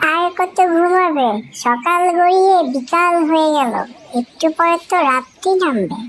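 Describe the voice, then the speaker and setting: In a cartoonish character voice, the speaker talks at a very slow pace with an extremely high pitch. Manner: warm, chatty.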